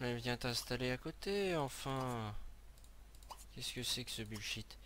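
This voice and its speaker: The man's tone is bright and sharp, and his pace is fairly slow. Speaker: gaming video creator. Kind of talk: let's play commentary. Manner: animated. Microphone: new headset mic, being tested.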